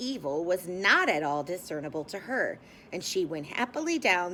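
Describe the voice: The speaker reads aloud. It is plain reading aloud.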